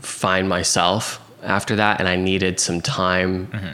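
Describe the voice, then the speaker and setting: Using fairly even intonation, a man with an American accent and a very deep, low pitch speaks at a fairly slow pace. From Oklahoma City, US. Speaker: real estate agent and coach. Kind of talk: casual interview chat. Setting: host's kitchen, in person.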